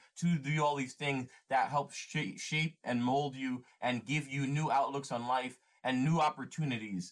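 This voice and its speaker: Speaking in a plain, everyday voice with an American accent, a man with a fairly high pitch keeps a moderate pace. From US. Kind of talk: casual chat.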